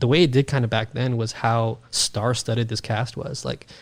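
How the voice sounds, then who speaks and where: A man with an American accent talks at a fairly quick pace and a medium pitch. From New York City (Queens). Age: 30s. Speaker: podcaster, gaming guest. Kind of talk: casual chat. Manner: animated.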